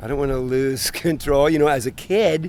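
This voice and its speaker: At a moderate pace, a man speaks in a plain, everyday voice with a medium pitch. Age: 60s. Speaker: passer-by interviewee. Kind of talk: street interview. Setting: outdoors in a park.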